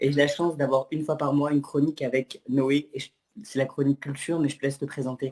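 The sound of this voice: Fast pace, a slightly mellow tone and little pitch movement. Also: man, medium pitch for a man.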